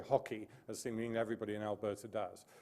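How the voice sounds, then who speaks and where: A man's dark, mellow voice at a very fast pace. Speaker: psychology professor. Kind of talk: lecture.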